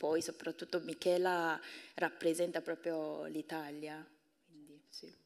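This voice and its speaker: Speaking with a Korean accent, a woman keeps to a very slow pace and a fairly low pitch. Her intonation is monotone and flat. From South Korea. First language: Korean (speaking Italian). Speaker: university professor and translator; guest. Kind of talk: public talk; interview answer. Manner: halting. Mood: warm, smiling. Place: stage. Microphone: handheld.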